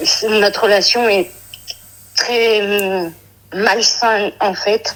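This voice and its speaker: The woman talks very slowly. Her voice sits at a medium pitch. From Brittany, France. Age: 30s. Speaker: caller. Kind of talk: phone-in advice call. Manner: hesitant.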